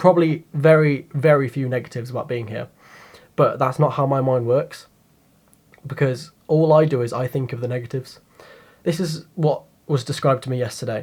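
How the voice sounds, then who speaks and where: A quiet, somewhat breathy man at a fairly high pitch and fairly quick pace, with fairly even intonation and long, frequent pauses. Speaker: YouTube vlogger. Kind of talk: personal confessional vlog. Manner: quiet, subdued; halting, hesitant.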